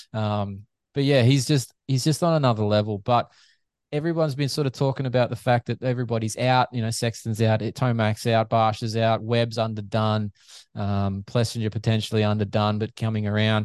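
With an Australian accent, a man talks at a fairly quick pace and keeps his intonation fairly even. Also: medium pitch for a man, dry, close sound with no echo. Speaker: physiotherapist and motocross media figure. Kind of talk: casual chat.

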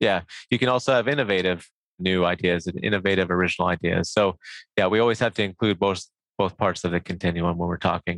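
A man with a Midwestern accent talks at a very fast pace. His pitch is very deep and low, with ordinary variation. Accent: American Midwestern. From US Midwest, Nebraska. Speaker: professor. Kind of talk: interview.

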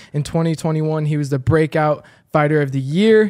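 A normal speaking voice with fairly even intonation. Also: man. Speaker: podcast co-host. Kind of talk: casual interview.

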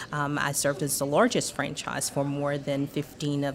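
A woman with a very deep, low pitch speaks at a moderate pace against noticeable background noise. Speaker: business owner. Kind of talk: casual chat. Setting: restaurant.

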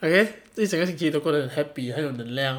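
Very fast speech with a Malaysian accent. The recording is very clean, with a silent background. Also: man. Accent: Malaysian Mandarin. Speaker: podcast host. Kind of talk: casual solo chat. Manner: animated.

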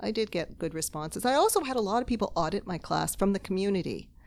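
A woman with a Canadian accent, a plain, everyday voice and ordinary pitch variation, on a very clean recording with a silent background. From Toronto, Canada. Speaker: novelist and literature professor. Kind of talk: casual interview chat. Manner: laughs often.

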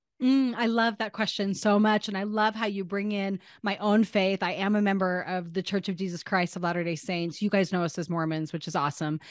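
Over a quiet background, a woman talks at a fairly quick pace in an animated tone, her medium-pitched voice showing ordinary pitch variation. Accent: American. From US, northern Utah. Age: 40s. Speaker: marketing coach and entrepreneur. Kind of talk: interview conversation.

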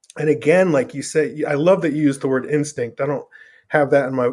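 The speaker has an ordinary speaking voice. The pitch varies in an ordinary way. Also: man. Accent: American. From Northern Virginia. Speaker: punk musician. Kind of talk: casual interview chat.

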